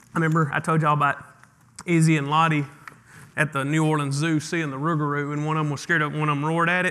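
A man with a Mississippi accent talks at a very fast pace, his pitch fairly high and his tone bright and sharp. His intonation is monotone and flat, broken by long, frequent pauses. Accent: Southern US (Mississippi). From northeast Mississippi, US South. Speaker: pastor. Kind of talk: sermon. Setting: church.

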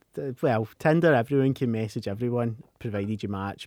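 On a very clean recording with a silent background and a dry, close sound with no echo, a man with a Scottish accent speaks at medium pitch in a dark, mellow tone. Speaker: podcast co-host. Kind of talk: casual chat.

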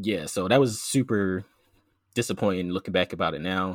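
Very deep and low, a man's voice with an American accent moves at a fairly quick pace with ordinary pitch variation in a very clean recording with a silent background. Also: dry, close sound with no echo. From US, Philadelphia. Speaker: PhD student and science podcaster. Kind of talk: interview conversation. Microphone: professional mic.

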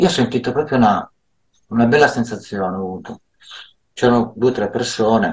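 Somewhat breathy, a man speaks at a moderate pace with a medium pitch, ordinary pitch variation and long, frequent pauses. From Milan, northern Italy. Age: 60s. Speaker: social care worker. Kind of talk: interview. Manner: halting, many fillers.

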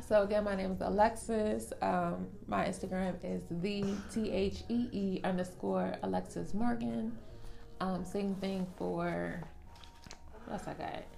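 The pace is fairly slow. Noticeable background noise runs throughout. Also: woman. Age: 20s. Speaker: podcast co-host. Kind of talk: casual chat.

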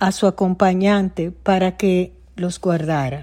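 A woman with a dark, mellow tone speaks at a very slow pace on a very clean recording with a silent background. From Dominican Republic. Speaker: writer. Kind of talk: reading aloud.

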